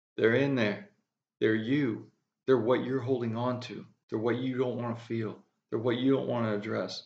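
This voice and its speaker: A man with a slight Southern US accent speaks at a medium pitch, with vocal fry and monotone, flat intonation. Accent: slight drawl. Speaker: spiritual speaker. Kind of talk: spiritual monologue. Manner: mumbling.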